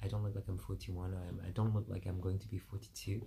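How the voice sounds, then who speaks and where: A man's very deep, low voice with vocal fry and a dark, mellow tone. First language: French. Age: 40s. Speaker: vlogger. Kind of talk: personal monologue vlog. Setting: video recorded to camera. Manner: halting.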